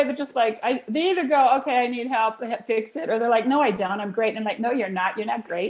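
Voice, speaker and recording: A woman speaks fairly quickly with an American accent. Her intonation is lively. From Los Angeles, California. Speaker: voice coach. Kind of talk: interview. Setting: video call. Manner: fast; animated.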